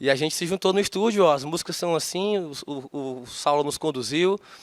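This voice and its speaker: Speaking fairly quickly in a strong Fortaleza accent, a man shows ordinary pitch variation. The sound is dry and close with no echo, on a very clean recording with a silent background. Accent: thick Fortaleza (Ceará). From Fortaleza, northeastern Brazil. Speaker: singer-songwriter. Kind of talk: interview. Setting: studio.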